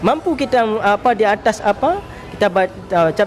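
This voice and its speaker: Behind this man there is noticeable background noise. His voice moves through ordinary pitch variation. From Aceh, Indonesia. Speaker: Islamic preacher, head of a dakwah organization. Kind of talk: talk show interview on preaching. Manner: halting, with repetitions and fillers.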